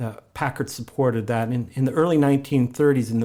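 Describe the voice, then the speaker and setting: In a northeast Ohio accent, a man speaks at a moderate pace with medium pitch, fairly even intonation and a dark, mellow tone. The recording is very clean, with a silent background. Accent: Midwestern American (northeast Ohio). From Ohio, US (Warren). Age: 60s. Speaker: local museum historian. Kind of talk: podcast interview. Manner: halting, many repetitions and fillers.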